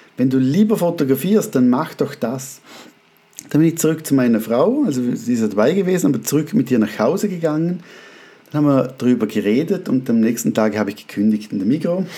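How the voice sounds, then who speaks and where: Talking at a fairly quick pace, a man uses a fairly high pitch with very wide swings. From Austria. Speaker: photographer and podcast host. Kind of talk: casual monologue. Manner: hesitant with fillers.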